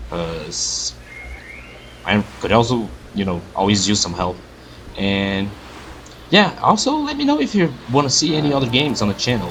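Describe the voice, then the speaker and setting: A man at a moderate pace with long, frequent pauses, over noticeable background noise. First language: not English. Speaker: gaming youtuber. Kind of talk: let's play commentary. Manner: halting.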